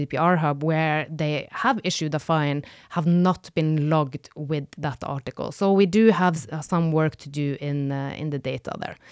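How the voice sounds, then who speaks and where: In a very clean recording with a silent background and a dry, close sound with no echo, a woman speaks at a moderate pace in a very deep, low voice with ordinary pitch variation. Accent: Norwegian. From northern Norway. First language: Norwegian. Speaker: data protection consultant. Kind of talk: casual chat.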